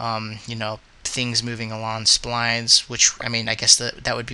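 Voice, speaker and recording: The man talks in a monotone, flat intonation at a medium pitch. Noticeable background noise runs underneath. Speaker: 3D animation hobbyist. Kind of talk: screen-capture software tutorial. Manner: hesitant, many filler words.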